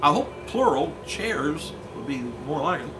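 A man at a fairly slow pace over noticeable background noise. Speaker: wrestling news reporter. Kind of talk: news report commentary. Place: office.

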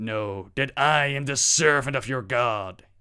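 A man uses a put-on character voice at medium pitch. He talks at a fairly slow pace, with hissing audible.

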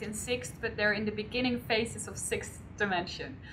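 A woman talks at a fairly quick pace with ordinary pitch variation. Light background noise sits behind her. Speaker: interview guest. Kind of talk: interview answer. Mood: animated, smiling. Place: home room.

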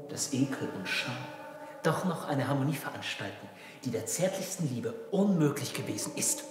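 A man talks at a moderate pace. Room echo and background noise are both noticeable. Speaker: stage actor. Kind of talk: theatrical dialogue. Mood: intimate, ironic. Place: hall.

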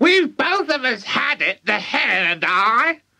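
This put-on character voice is high-pitched, moves at a fairly slow pace, and makes very wide pitch swings. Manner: boastful, cackling, bossy.

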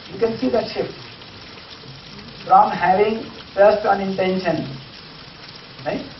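A high-pitched man at a moderate pace, with audible room echo and light background noise. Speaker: teacher. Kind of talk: lecture. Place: classroom. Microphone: camera far.

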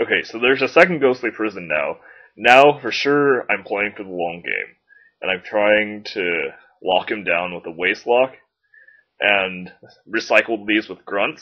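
Here a man's fairly low voice carries lively intonation and big swings in loudness. He speaks at a fairly slow pace. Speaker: Magic: The Gathering player and commentator. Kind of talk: game commentary explaining strategy.

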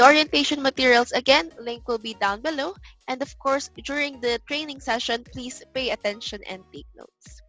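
A high-pitched woman speaks at a moderate pace with ordinary pitch variation and big swings in loudness. The sound is dry with no echo, and faint music plays in the background. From Philippines. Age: young. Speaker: online English tutor. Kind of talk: casual talk to camera. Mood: cheerful, smiling. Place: home room. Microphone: headset.

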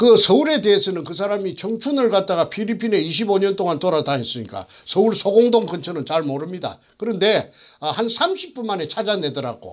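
Against a quiet background, a man speaks at a high pitch and moderate pace with lively intonation and hardly any pauses. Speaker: former elementary school teacher, whistleblower; former elementary school teacher. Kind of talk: interview testimony. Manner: rambling, halting with many fillers. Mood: accusatory, earnest. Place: studio. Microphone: lapel.

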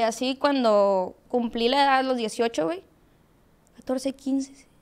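A woman's high voice with lively intonation. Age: 20s. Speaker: social media content creator. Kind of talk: casual interview chat. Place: studio. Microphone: studio mic.

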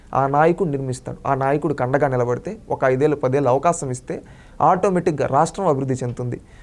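The man's voice sits at a fairly high pitch. His pitch varies in an ordinary way. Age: 20s. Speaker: member of the public giving political opinion. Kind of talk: street interview opinion. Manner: animated, impassioned.

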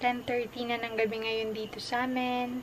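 A woman speaks in a monotone, flat intonation at a moderate pace. Background noise is noticeable. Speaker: vlogger. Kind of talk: casual vlog chat. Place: home room. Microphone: phone near.

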